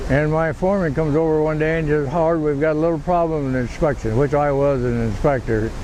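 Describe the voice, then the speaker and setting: A man's fairly high-pitched voice at a fairly quick pace, with fairly even intonation, noticeable background noise and audible room echo. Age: 90s. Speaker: war veteran. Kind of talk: interview. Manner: halting.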